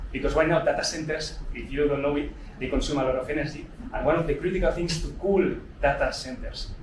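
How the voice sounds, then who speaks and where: Very fast speech rings with audible room echo amid noticeable background noise. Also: man. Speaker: fund manager presenting at investing event. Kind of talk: live presentation with audience. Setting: old house event venue with audience.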